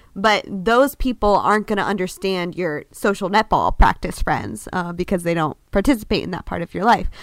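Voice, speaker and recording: An ordinary speaking voice with ordinary pitch variation comes through on a very clean recording with a silent background. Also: woman. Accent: American. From Florida. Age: 20s. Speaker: podcast co-host. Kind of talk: casual chat.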